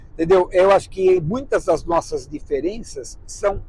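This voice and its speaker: Speaking at a fairly slow pace, a man with a high voice uses ordinary pitch variation. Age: 60s. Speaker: travel vlogger, married couple. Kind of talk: casual chat.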